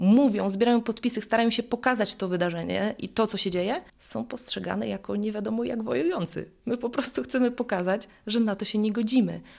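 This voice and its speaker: In a very clean recording with a silent background, a woman talks with an ordinary speaking voice. Her pitch is fairly high, her intonation lively, and her pace fairly quick. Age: 30s. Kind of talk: interview.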